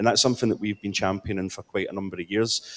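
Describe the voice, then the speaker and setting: A man with a strong Scottish accent speaks at a fairly low pitch with fairly even intonation. The recording is dry and close with no echo. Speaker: city councillor. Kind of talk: conference panel speech. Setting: conference panel. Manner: halting, with many fillers and repeats.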